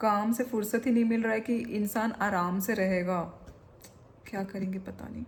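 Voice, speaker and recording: A woman speaks with a somewhat breathy, medium-pitched voice. The intonation stays fairly even throughout. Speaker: vlogger. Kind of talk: casual vlog chat.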